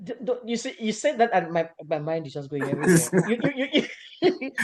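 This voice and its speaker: Over noticeable background noise, the voice moves at a fairly quick pace with very wide pitch swings. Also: man, high pitch for a man. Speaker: radio and YouTube show host interviewer. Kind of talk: conversational interview hosting. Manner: animated, enthusiastic.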